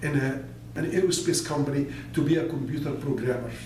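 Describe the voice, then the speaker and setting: With an Arabic accent, a man talks at a moderate pace and with fairly even intonation, amid audible room echo and noticeable background noise. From Egypt (Alexandria). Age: 60s. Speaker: business consultant and motivational speaker. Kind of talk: personal life story monologue.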